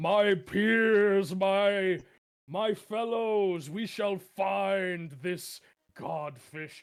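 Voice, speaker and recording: Very slowly and at a high pitch, a man delivers his lines in a put-on character voice. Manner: commanding, addressing a crowd.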